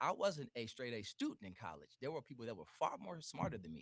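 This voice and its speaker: In an American accent, a man speaks with an animated tone and some vocal fry. His pitch is medium and his pace moderate. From US Midwest, Cleveland, Ohio. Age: 40s. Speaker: entrepreneur. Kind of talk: interview.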